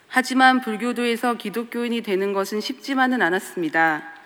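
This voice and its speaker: This is a plain, everyday voice at a moderate pace. The intonation is lively. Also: woman. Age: 30s. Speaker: artist giving church testimony. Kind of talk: testimony. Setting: church.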